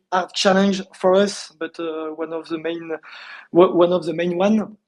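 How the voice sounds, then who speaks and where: This man talks with a French accent at a moderate pace. His pitch is high, and his intonation is monotone and flat. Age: 40s. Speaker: startup founder. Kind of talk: interview. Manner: halting.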